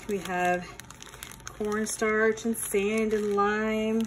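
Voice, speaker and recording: A woman talks while a little background noise can be heard. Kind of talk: casual unboxing walkthrough. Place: home room. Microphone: phone near.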